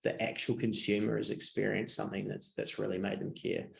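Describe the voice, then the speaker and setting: A man is speaking. He has a New Zealand accent. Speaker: design agency managing director. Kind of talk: webinar presentation. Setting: online webinar. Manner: hesitant, many fillers and repeats.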